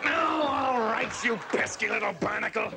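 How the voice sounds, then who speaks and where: A man's put-on character voice at an extremely high pitch and moderate pace, over loud background noise. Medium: comedy sketch. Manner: hearty, gruff, folksy.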